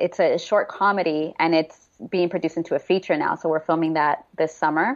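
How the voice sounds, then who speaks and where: In a normal speaking voice, a woman talks at a fairly low pitch with fairly even intonation. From Texas, Houston. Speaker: actor. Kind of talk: interview.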